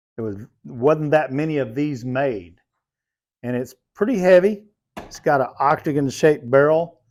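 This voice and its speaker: On a very clean recording with a silent background, a man with an unremarkable speaking voice talks at a moderate pace and a fairly high pitch, with ordinary pitch variation. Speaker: cowboy leatherworker. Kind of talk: casual shop tour talk.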